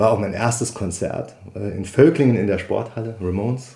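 A somewhat breathy voice with a dark, mellow tone. It moves at a moderate pace with ordinary pitch variation. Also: man. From Saarland, Dudweiler. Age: 40s. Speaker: musician and childcare worker. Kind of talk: interview. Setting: living room at home.

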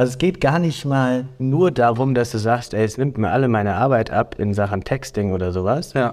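A man with an unremarkable speaking voice talks at a fairly slow pace in a medium pitch, with ordinary pitch variation, on a very clean recording with a silent background. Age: 20s. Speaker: podcast co-host. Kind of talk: casual chat.

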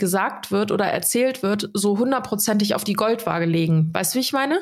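A plain, everyday voice from a woman, fairly high in pitch, at a moderate pace. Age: 30s. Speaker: podcast co-host. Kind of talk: casual chat.

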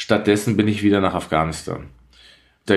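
A man talks in a normal speaking voice at a fairly low pitch with ordinary pitch variation. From Austria, Tyrol (Innsbruck). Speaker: journalist and war reporter. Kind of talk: conversational podcast discussion.

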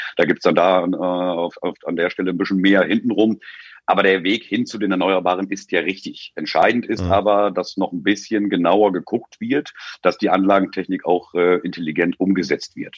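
Here a man speaks in a very deep, low pitch with fairly even intonation at a moderate pace. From northern Germany, near Oldenburg. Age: 40s. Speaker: energy consultant. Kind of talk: casual interview.

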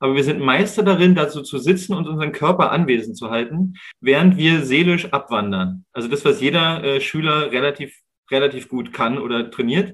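A somewhat breathy man's voice, fairly high in pitch, with lively intonation. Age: 30s. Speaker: wilderness educator. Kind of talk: interview.

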